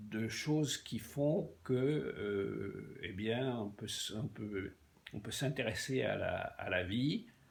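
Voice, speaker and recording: At a very slow pace, a man speaks at medium pitch with lively intonation and vocal fry. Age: 80s+. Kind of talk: interview answer. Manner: halting, hesitant speech.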